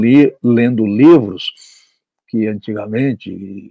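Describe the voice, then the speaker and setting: A man talks at a very slow pace in a medium pitch. His tone is dark and mellow, with ordinary pitch variation. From Brazil, Minas Gerais. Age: 70s. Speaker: journalist and writer. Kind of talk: interview. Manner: halting.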